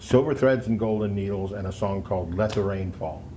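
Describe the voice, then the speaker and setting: A man's fairly low voice with an American accent, fairly even intonation and a fairly quick pace, in a room with audible echo. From US Pacific Northwest, Seattle. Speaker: musician, singer-songwriter, former radio presenter. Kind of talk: casual interview. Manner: relaxed, many fillers.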